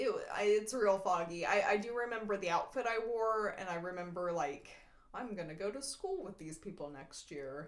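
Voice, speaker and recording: Over noticeable background noise, a woman of medium pitch with an American accent speaks at a moderate pace, her intonation lively and her loudness swinging widely. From Texas. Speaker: podcast host. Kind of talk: casual chat.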